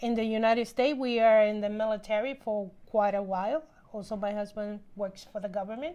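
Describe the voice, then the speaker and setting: A woman talks at a fairly quick pace with a Spanish accent, her pitch fairly high. Her tone is dark and mellow, and her intonation stays fairly even. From Puerto Rico. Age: 50s. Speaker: housewife. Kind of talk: interview testimony.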